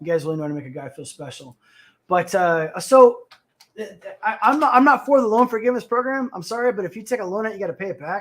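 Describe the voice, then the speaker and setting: Talking at a very fast pace with an American accent, a man uses a high voice that makes very wide pitch swings and big swings in loudness. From Texas. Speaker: livestream talk show host. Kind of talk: casual livestream chat reading comments. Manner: loud, abrupt.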